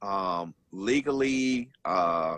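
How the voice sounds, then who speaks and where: Recorded dry and close with no echo, a man speaks at a medium pitch with lively intonation and a bright, sharp tone. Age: 60s. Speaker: radio show guest. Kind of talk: radio talk show discussion.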